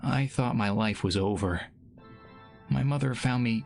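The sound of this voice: The unforced reading voice shifts pitch in an ordinary way.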